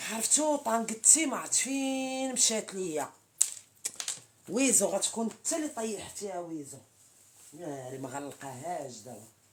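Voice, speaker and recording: A woman's medium-pitched voice at a fairly slow pace, with very wide pitch swings and big swings in loudness over noticeable background noise. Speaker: social media live streamer. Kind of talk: casual live-stream chat with viewers. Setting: TikTok live stream.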